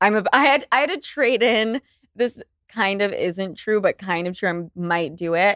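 Her medium-pitched voice has an animated tone and lively intonation as the woman talks at a moderate pace in a dry, close sound with no echo. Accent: American. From Utah. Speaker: podcaster. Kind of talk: casual chat.

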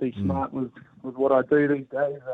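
Speaking at a moderate pace and medium pitch, a man with a New Zealand accent keeps a monotone, flat intonation. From New Zealand, Hawke's Bay. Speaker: professional cricketer and horse breeder. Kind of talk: interview. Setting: phone call.

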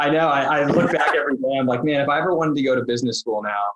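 The speech comes at a very fast pace. It is a man with an American accent. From US Midwest, Indianapolis, Indiana. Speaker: private equity investor, former college soccer player. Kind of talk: podcast interview.

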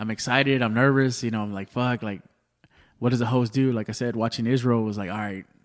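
A very fast, monotone, flat-sounding man at medium pitch with an American accent, on a very clean recording with a silent background. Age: 30s. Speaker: stand-up comedian. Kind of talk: casual chat.

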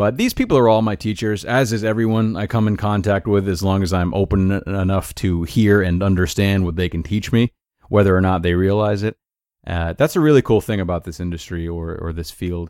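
A man's fairly low voice with an American accent, an ordinary speaking voice with ordinary pitch variation, on a very clean recording with a silent background. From US Northeast, Rhode Island. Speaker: life coach podcast host. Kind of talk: solo podcast monologue. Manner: casual, frequent filler uh.

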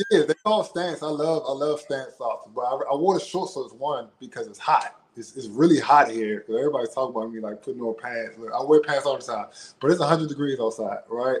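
A man with a normal speaking voice and an American accent talks at a fairly quick pace, with lively intonation and big swings in loudness. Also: fairly high pitch for a man. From Washington DC. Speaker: reality dating show contestant. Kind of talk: casual interview. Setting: online live stream.

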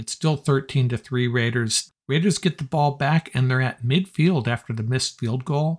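A man speaks at a medium pitch, somewhat breathy, with ordinary pitch variation. The sound is dry and close, with no echo. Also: moderate pace, hardly any pauses. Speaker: podcast host and sports analyst. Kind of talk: sports recap commentary, play-by-play style game recap. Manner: brisk, energetic, conversational fan enthusiasm with wry sarcasm.

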